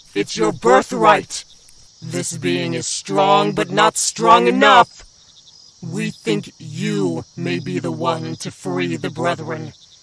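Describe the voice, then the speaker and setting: This man speaks very slowly. His put-on character voice stays at a medium pitch. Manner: commanding, menacing.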